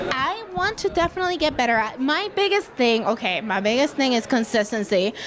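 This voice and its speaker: Against noticeable background noise, a woman talks at a high pitch and a fairly quick pace, her pitch swinging very widely while her loudness stays very even. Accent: non-native. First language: not English. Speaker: podcaster. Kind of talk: casual interview. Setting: live event.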